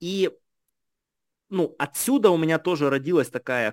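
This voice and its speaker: A man's lively intonation at a fairly slow pace, dry and close with no echo, in a very clean recording over a silent background. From Ukraine, Kharkiv and Kherson region. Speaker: entrepreneur. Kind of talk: interview.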